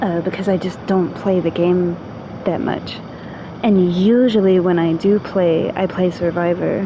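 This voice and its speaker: Over noticeable background noise, a woman talks fairly slowly with an American accent. Her voice sits at a medium pitch with fairly even intonation. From New York. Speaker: video game streamer. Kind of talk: casual gameplay livestream chat. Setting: livestream with a friend.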